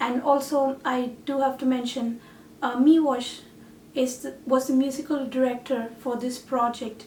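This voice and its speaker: The speaker has a Tamil accent. The intonation is monotone and flat. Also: woman. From India and Malaysia. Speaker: singer-songwriter and artist. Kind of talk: reflective talk about a project.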